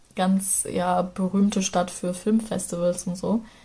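A woman speaks very slowly at a medium pitch, in a dark, mellow and somewhat breathy voice. Her intonation is monotone and flat. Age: 20s. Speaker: travel storyteller, local radio presenter. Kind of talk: casual travel narration.

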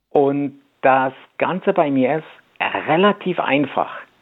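A man's fairly high pitch at a very slow pace, with ordinary pitch variation. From Poland (Masuria), moved to Germany at ten. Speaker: language coach. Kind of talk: radio interview. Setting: radio studio.

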